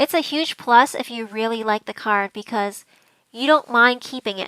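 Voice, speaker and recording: A woman's fairly high, a normal speaking voice at a moderate pace, dry and close with no echo. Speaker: pokemon card collecting youtuber. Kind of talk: tutorial.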